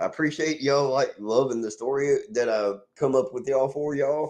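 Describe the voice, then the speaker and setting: In an American accent, a man with a fairly high pitch speaks at a moderate pace. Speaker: livestream host. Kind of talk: casual live stream chat. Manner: casual, rambling.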